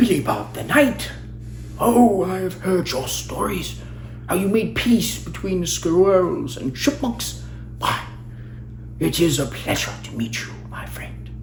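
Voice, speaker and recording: A man's put-on character voice at a fairly slow pace, with long, frequent pauses and clear background noise. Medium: read story. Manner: formal, gracious.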